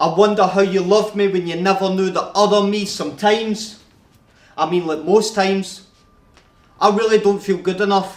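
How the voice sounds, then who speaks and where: Flat and monotone, a man with a Scottish accent speaks at a high pitch. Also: moderate pace. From Scotland. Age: 20s. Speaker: rapper, spoken word artist. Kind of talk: spoken word poetry performance.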